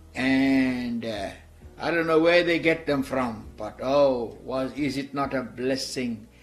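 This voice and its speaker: Over music in the background, a man talks at a fairly slow pace with a medium pitch and fairly even intonation. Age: 60s. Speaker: missionary. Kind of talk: testimony. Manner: halting.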